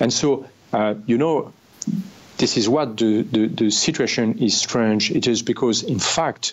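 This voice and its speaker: A man speaks at a fairly slow pace with a medium pitch. His loudness stays very even, and his pitch varies in an ordinary way. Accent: French. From France. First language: French. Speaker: former army officer. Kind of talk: interview. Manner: halting.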